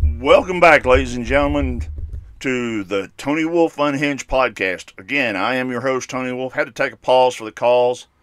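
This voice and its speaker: A man with an unremarkable speaking voice talks at medium pitch with lively intonation and big swings in loudness. The recording is very clean, with a silent background. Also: moderate pace. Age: 50s. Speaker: podcast host. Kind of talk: solo monologue podcast. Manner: casual, opinionated.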